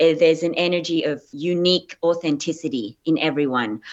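Her voice carries an Australian accent and sits at a fairly low pitch for a woman. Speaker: actress. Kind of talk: interview.

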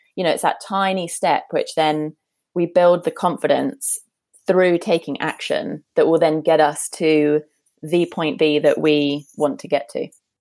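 With a British accent and a fairly low pitch, a woman speaks at a fairly slow pace with ordinary pitch variation, in a very clean recording with a silent background. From UK. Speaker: coach and former founder. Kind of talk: interview conversation.

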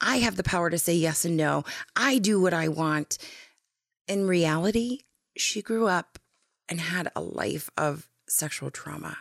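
A woman with an American accent speaks at a fairly slow pace with long, frequent pauses, fairly low pitch, vocal fry and lively intonation. The recording is very clean with a silent background and a dry, close sound with no echo. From North Dakota, US. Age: 30s. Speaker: guest, educator and advocate. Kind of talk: casual interview, personal storytelling.

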